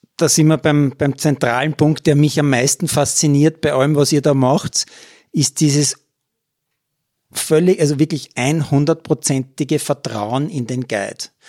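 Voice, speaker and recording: A man's fairly high-pitched voice with a dark, mellow tone, fairly even intonation and a very slow pace, in a very clean, dry, close recording with no echo and a silent background. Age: 50s. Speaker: sports reporter and podcast host. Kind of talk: storytelling podcast narration.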